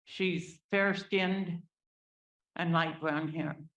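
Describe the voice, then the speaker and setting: Speaking very slowly with fairly even intonation, a woman with a fairly low voice is heard amid audible room echo. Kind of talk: public testimony. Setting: public meeting hall. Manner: unscripted, speaking without notes.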